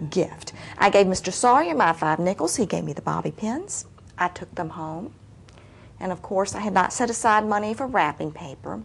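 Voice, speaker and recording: A woman with vocal fry and lively intonation speaks with big swings in loudness. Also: medium pitch for a woman, moderate pace. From Appalachia. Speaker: storyteller. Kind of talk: storytelling performance.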